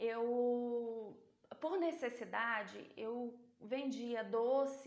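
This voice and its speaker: Speaking with a strong Minas Gerais accent, this voice keeps a fairly even intonation over audible room echo. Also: woman. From Brazil, interior of Minas Gerais. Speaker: sales and business speaker. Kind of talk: motivational talk.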